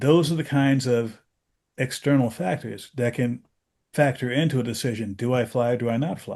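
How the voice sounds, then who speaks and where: An ordinary speaking voice from a man at medium pitch, with ordinary pitch variation, a moderate pace and a quiet background. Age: 60s. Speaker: aviation safety podcast host. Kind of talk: casual discussion.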